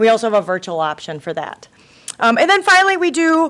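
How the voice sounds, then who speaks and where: There is noticeable background noise as a woman talks at a fairly quick pace. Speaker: legal aid lawyer giving presentation. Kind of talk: presentation to city council. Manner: fast.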